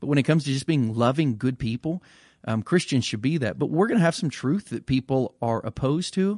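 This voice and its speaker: A man with an unremarkable speaking voice talks at a fairly quick pace, with medium pitch and lively intonation. The sound is dry and close with no echo, over a quiet background. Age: 40s. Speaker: pastor. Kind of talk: casual chat.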